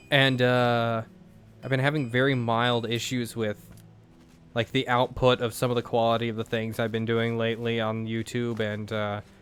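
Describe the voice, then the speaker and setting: Monotone, flat intonation with music in the background. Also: man, medium pitch for a man, moderate pace. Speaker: gaming YouTuber. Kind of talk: let's play commentary. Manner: halting, repeated words.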